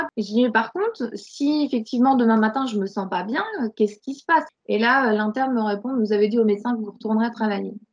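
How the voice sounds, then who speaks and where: Fairly even intonation and a moderate pace from a woman with a fairly high pitch. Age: 40s. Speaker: burnout survivor and coach. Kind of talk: testimony. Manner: halting, many repetitions and fillers.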